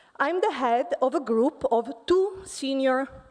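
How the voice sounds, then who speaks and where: In an Italian accent, a woman speaks at a very slow pace. Her high voice moves through very wide pitch swings. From Italy. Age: 40s. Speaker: physics professor. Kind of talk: conference talk. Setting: stage with audience.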